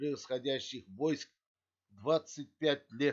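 Over a quiet background, a man at a fairly high pitch talks with fairly even intonation. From Kazakhstan. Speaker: video blogger. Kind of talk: history talk to camera, partly read. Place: home room. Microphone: webcam.

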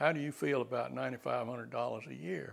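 A man with an Alabama accent against a quiet background. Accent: Southern US (Alabama). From US South, Alabama. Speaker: retired bankruptcy judge. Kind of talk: elder life story, 2005 oral history interview recalling courtroom days. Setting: interview in his home. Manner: halting, with repeated words and filler uhs; unhurried, genial storytelling with chuckles. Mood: warm, amused. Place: home room. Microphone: lapel.

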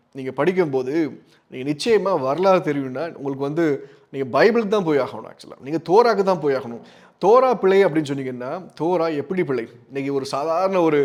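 A man speaks in a normal speaking voice. His pitch is fairly high and his intonation lively. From Tamil Nadu, Tirunelveli. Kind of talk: religious teaching talk.

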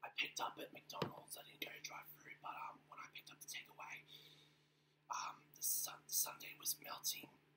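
A woman whispers in an Australian accent at a moderate pace. Her loudness swings widely. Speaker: ASMR eating vlogger. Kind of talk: ASMR eating and whispering. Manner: whispered. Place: home room. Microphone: webcam.

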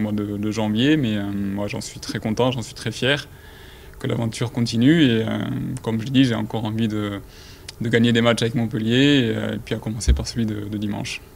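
At a moderate pace and with fairly even intonation, the voice comes through over light background noise. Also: man. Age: 30s. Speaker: professional football defender. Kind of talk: pre-match press interview. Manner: halting, many repetitions and fillers. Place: meeting room. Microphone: podium.

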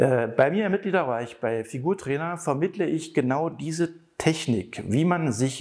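Fairly slow speech from a man against a quiet background. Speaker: fitness coach. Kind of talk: tutorial. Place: gym. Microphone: lapel.

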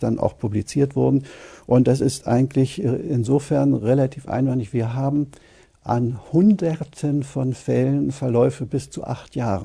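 Against a quiet background, a man with a dark, mellow tone and a somewhat breathy voice speaks at a fairly slow pace, with ordinary pitch variation. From Germany. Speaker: radiologist. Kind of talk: interview answer. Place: studio.

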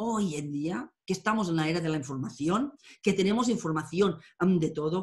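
A woman speaks in a somewhat breathy voice with very wide pitch swings. The background is quiet. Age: 50s. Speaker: tarot and astrology teacher; tarot reader, interviewee. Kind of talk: interview. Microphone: webcam.

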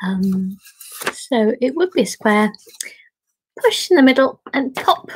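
A woman with a British accent, high-pitched and warm in tone, very slow with long, frequent pauses and very wide pitch swings. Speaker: origami teacher leading a group. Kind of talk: tutorial. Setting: video call. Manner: warm, friendly, chatty; easily tires voice. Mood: warm, gentle. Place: home room. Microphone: webcam.

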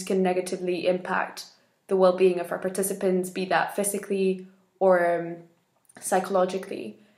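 At a moderate pace, a woman talks in a room with audible echo and a quiet background. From Spain, Madrid. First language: Spanish. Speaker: election candidate in a youth organisation; election candidate. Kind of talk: campaign video statement. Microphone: webcam.

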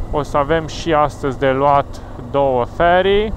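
The speech comes at a very slow pace, with light background noise and a dry sound with no echo. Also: man. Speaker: motorcycle rider vlogger. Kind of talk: casual vlog chat. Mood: cheerful. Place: motorbike. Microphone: helmet.

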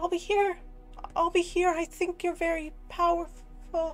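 Over clear music in the background, a put-on character voice at extremely high pitch moves at a moderate pace with monotone, flat intonation. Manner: warm, confused, pleading.

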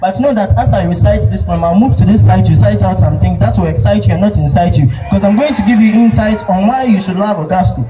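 Over noticeable background noise, a man talks at a very fast pace. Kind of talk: spoken word poetry performance at a school speech day. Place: stage.

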